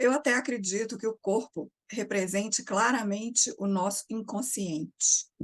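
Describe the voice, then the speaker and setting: A quiet, somewhat breathy woman's voice, fairly high in pitch, calm in tone, at a fairly slow pace with hardly any pauses and ordinary pitch variation, in a dry, close sound with no echo. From Brazil, Minas Gerais. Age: 60s. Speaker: psychotherapist. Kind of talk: interview. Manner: calm, quiet.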